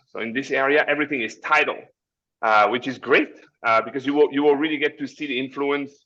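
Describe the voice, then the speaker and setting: In a French accent, a bright, sharp tone rushes by at a very fast pace with fairly even intonation. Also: man, fairly high pitch for a man. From France. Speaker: cruise line representative. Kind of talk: webinar presentation. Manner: halting.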